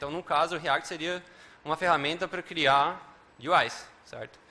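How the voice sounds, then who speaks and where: A man speaks at a high pitch. His tone is bright and sharp. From Uruguay, Montevideo. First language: Spanish (speaking Portuguese). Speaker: software developer and conference speaker. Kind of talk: conference talk. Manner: many filler words and hesitations.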